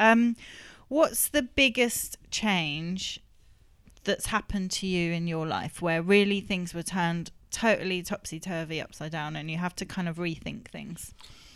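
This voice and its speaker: Recorded very cleanly against a silent background, a woman with an English accent speaks at a fairly slow pace in a fairly low voice, with ordinary pitch variation and big swings in loudness. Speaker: community radio host. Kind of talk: casual group discussion. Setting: radio recorded in a greenhouse.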